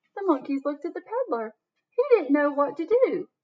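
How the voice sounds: At a moderate pace, a woman talks in a high pitch with big pitch swings.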